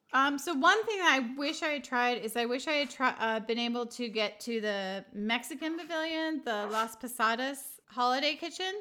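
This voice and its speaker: A raised, projected voice with a bright, sharp tone moves at a moderate pace with hardly any pauses. The recording is very clean, with a silent background. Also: woman, high pitch for a woman, lively intonation. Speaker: podcast host and mother. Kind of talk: casual family chat. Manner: laughs often.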